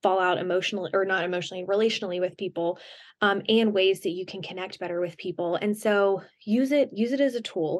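A woman with an American accent and an unremarkable speaking voice talks at a medium pitch and a fairly quick pace, with ordinary pitch variation and a quiet background. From US South. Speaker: author and Enneagram coach. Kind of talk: podcast interview.

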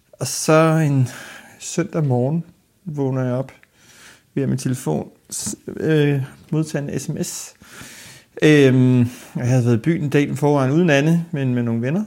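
A fairly high-pitched man speaks at a very slow pace, leaving long, frequent pauses. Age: 30s. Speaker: archive worker, accident victim. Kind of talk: interview testimony.

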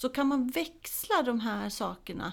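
At a very slow pace, a woman speaks with vocal fry and lively intonation. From Småland, Sweden. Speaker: football coach educator. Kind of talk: casual interview. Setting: studio.

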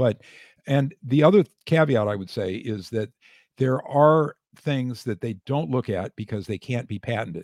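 In a very clean recording with a silent background and a dry, close sound with no echo, a man with a normal speaking voice talks at a moderate pace in an American accent, his medium pitch moving with lively intonation. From United States. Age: 60s. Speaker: retired physician and author. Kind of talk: casual interview.

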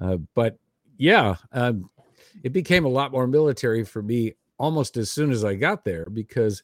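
A man with an American accent and a normal speaking voice, medium in pitch, with lively intonation at a moderate pace, in a very clean, silent recording with a dry, close sound and no echo. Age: 60s. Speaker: army veteran. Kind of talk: casual chat.

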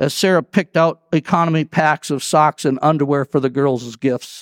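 A plain, everyday voice from a man, fairly high in pitch, at a moderate pace, in a very clean recording with a silent background and a dry, close sound with no echo. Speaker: pastor. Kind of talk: sermon with audiobook-style story reading. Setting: church Christmas Eve service. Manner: measured, storyteller cadence; warm, earnest, reverent in prayer.

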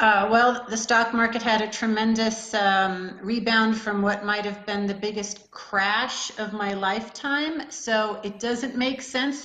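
A woman's fairly high voice, fairly slow and flat in a monotone, over noticeable background noise. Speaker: hedge fund manager. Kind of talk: interview.

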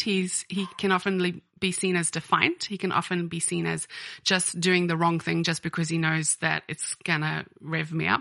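Over a quiet background, a woman speaks at a moderate pace. Her voice is fairly low-pitched with a bright, sharp tone. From South Africa. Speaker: editor and business owner. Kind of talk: casual interview chat. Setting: recorded at her home.

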